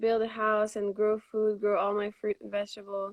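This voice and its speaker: This woman has a Quebec accent and a fairly high pitch. Her intonation is monotone and flat. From Montreal, Quebec, Canada. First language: French. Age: 20s. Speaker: raw vegan cookbook author. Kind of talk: live video interview. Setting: live stream video call.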